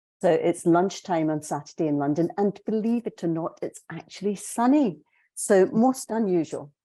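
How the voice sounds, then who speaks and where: A woman in a Scottish accent, medium in pitch, with a dark, mellow tone, lively intonation and a moderate pace, against a quiet background. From Scotland. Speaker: executive coach. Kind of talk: webinar presentation.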